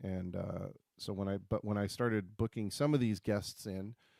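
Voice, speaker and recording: With a dark, mellow tone, a man talks using fairly even intonation. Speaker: livestream host. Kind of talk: casual livestream chat. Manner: halting, many fillers.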